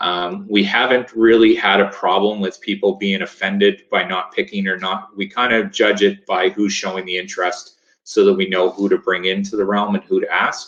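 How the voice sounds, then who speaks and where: At a moderate pace, a man with a Maritimes accent speaks with hardly any pauses. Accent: Canadian English (Maritimes). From Nova Scotia, Canada. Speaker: lifesaving sport coach. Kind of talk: webinar presentation. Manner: casual, hesitant with fillers.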